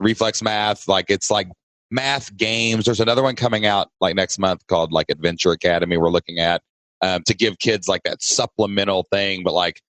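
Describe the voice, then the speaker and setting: A man with a Southern US accent, fairly low in pitch with ordinary pitch variation, talking at a fairly quick pace with very even loudness. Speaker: podcast host. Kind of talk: casual podcast conversation.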